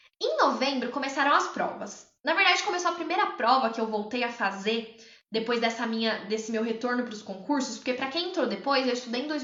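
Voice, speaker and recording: Audible room echo surrounds a woman who speaks at a fairly quick pace with lively intonation. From interior of São Paulo state, Brazil (São João da Boa Vista). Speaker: public attorney and exam-prep mentor. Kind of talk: livestream talk about own study experience. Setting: live stream.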